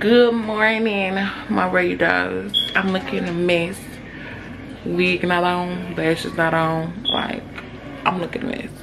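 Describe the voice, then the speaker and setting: The speech is very slow, with long, frequent pauses. Room echo is audible, and background noise is noticeable. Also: woman. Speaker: lifestyle vlogger. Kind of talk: casual vlog. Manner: animated.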